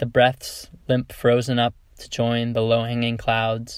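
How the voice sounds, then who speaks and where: On a very clean recording with a silent background, a man talks at medium pitch with monotone, flat intonation. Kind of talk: poetry reading, reading own poems aloud.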